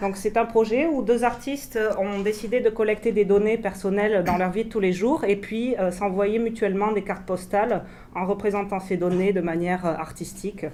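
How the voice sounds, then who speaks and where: Audible room echo surrounds a woman who talks at a very fast pace with hardly any pauses, at medium pitch with ordinary pitch variation and a dark, mellow tone. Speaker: researcher presenting and translating. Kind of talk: conference talk, live French translation. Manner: hesitant, many fillers.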